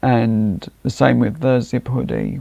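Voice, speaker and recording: A man's very slow delivery, fairly low in pitch, with vocal fry and a dark, mellow tone. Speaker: livestreamer. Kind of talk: casual live stream chat. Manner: halting.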